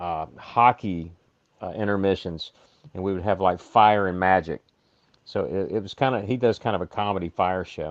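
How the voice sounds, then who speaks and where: Very deep and low in pitch, a man talks at a moderate pace. His loudness swings a lot, and the sound is dry and close with no echo. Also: ordinary pitch variation, quiet background. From Alabama. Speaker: illusionist. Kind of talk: casual chat.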